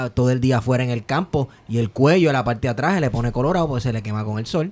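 With ordinary pitch variation, the man rushes along at a very fast pace against noticeable background noise. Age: 30s. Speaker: podcast host. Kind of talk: casual chat.

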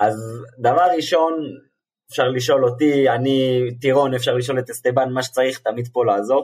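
An ordinary speaking voice at a moderate pace, with fairly even intonation and very even loudness. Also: man, medium pitch for a man. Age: 20s. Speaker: football fan, podcast guest. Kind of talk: casual chat.

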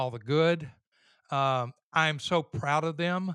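With a Louisiana accent, a man speaks at a fairly high pitch and with fairly even intonation. The sound is dry and close with no echo, over a quiet background. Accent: Southern US (Louisiana). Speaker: father of the hosts. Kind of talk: casual chat.

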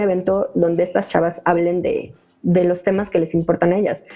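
A woman with a Mexican accent at a fairly slow pace. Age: 20s. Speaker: event organizer for women. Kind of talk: interview. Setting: remote recording. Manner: casual slangy. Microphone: audio problems.

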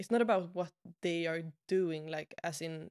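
In a Swedish accent, a woman speaks at a fairly low pitch in a dry, close sound with no echo on a very clean recording with a silent background. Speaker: podcast host and web designer. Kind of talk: casual interview conversation.

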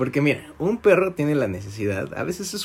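The voice moves at a moderate pace. Its pitch swings very widely. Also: man. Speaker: podcast host. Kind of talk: casual chat.

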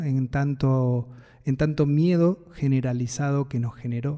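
With a Buenos Aires accent, a man talks in a fairly high voice with a dark, mellow tone. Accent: Rioplatense Spanish (Buenos Aires). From Buenos Aires city, Argentina. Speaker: singer-songwriter and music producer. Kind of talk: first-person narration about his music.

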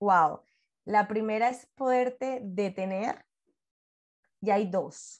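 Against a quiet background, a woman with a Venezuelan accent talks at a very slow pace in a fairly high pitch, with ordinary pitch variation and long, frequent pauses. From Venezuela, Puerto La Cruz. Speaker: podcast guest, mother. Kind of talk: interview conversation.

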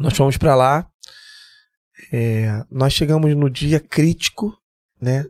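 A man's fairly high voice at a very slow pace, broken by long, frequent pauses, in a dry, close sound with no echo. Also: ordinary pitch variation, very even loudness. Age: 50s. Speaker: security chief and military firefighter. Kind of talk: casual interview chat.

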